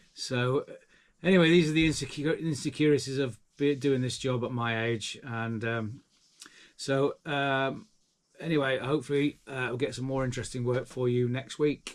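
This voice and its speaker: This man talks at a moderate pace with a medium pitch. His intonation stays fairly even. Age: 60s. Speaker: handyman. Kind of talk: vlog talk to camera. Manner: halting, many fillers.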